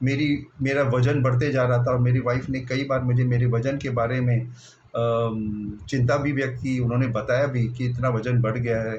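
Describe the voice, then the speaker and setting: With hardly any pauses, a man at medium pitch talks in a monotone, flat intonation amid audible room echo. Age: 60s. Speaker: retired bank officer, diet program participant. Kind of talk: personal testimony.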